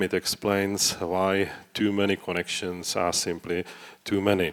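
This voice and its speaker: With a non-native accent, a man speaks at a fairly slow pace in a fairly low pitch. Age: old. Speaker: database consultant. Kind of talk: conference talk. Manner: halting, many fillers.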